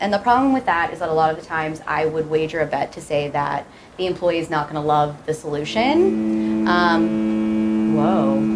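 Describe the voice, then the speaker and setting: Very deep, low female voice over music in the background. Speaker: startup co-founder. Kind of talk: presentation to class.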